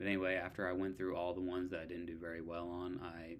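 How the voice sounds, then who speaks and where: A quiet man speaks very fast in a very deep, low pitch with monotone, flat intonation. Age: 30s. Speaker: online student vlogger. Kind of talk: casual vlog. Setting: at home at night.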